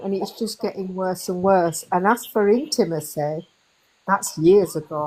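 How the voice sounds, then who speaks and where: This woman has a British accent. She talks at a fairly slow pace. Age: 60s. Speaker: community member asking question. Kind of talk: casual chat.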